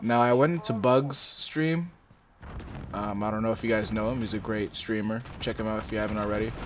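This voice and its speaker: Against noticeable background noise, a man speaks fairly quickly at a medium pitch with ordinary pitch variation. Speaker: gaming YouTuber. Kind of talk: live gameplay commentary with an angry rant about YouTube. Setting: home recording while playing a game. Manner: irritated, ranting, casually profane; distracted, chatty, reacting to the game mid-sentence.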